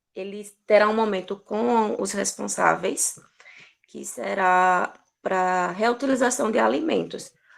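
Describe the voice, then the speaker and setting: A woman at a medium pitch and a very slow pace, with lively intonation and big swings in loudness. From Brazilian Northeast. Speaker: social worker. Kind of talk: online talk circle.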